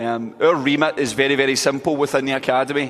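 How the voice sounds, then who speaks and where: Fairly even intonation marks this speaker's Scottish accent. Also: man. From Scotland. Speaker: football coach. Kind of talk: coaching clinic presentation. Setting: indoor hall at convention with audience.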